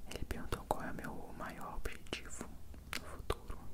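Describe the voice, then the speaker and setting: A man speaks at a fairly slow pace. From Brazil. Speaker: ASMR content creator. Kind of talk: ASMR Q&A answering viewer questions. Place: home room. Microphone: handheld.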